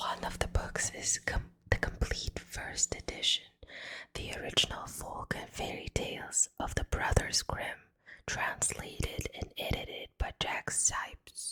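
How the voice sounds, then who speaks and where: Someone whispers at a very slow pace. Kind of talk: ASMR whisper reading of a fairy tale with humorous commentary. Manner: whispered, soft.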